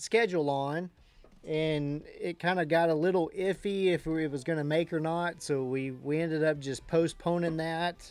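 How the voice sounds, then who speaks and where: A man with a Texan accent on a very clean recording with a silent background. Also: fairly high pitch for a man, fairly even intonation, moderate pace. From Texas. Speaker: day trading livestreamer. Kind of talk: casual chat. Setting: live stream.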